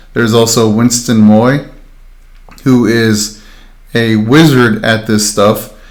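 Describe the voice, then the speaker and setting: Audible room echo surrounds a monotone, flat delivery at a fairly slow pace. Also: man. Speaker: makerspace instructor. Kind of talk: tutorial livestream.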